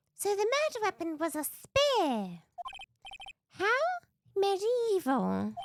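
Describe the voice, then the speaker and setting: A squeaky, put-on character voice at an extremely high pitch, very slow, with long, frequent pauses. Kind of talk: courtroom speech. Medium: game stream. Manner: dry, composed.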